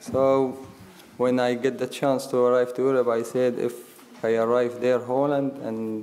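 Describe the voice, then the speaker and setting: A man speaks with an Arabic accent in a dark, mellow tone. His intonation is monotone and flat. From Syria. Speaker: war refugee. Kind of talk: panel discussion testimony. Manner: halting.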